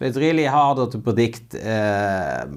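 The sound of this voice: A man speaks at a fairly slow pace in a clear, smooth tone at medium pitch. His pitch swings big as he goes.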